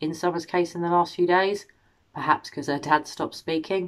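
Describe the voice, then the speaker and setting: A woman talking at a very fast pace against a quiet background. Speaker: true crime commentator. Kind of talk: commentary. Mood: concerned, earnest. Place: home room. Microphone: phone near.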